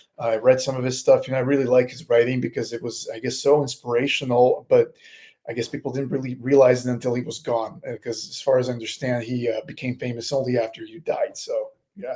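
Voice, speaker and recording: A man's medium-pitched voice, dark and mellow in tone and somewhat breathy, at a very fast pace with monotone, flat intonation and big swings in loudness. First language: not English. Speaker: horror author. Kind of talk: interview. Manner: halting, fumbling for words.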